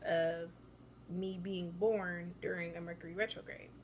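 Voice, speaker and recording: A woman at medium pitch and a fairly slow pace, with audible room echo. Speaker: astrology vlogger. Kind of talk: casual explainer vlog. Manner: hesitant, many filler ums.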